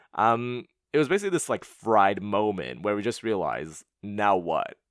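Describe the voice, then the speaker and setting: A man with a Canadian accent and a fairly low pitch, his intonation lively, on a very clean recording with a silent background. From Canada, Montreal. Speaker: podcast host. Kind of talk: Q&A monologue. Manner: fast.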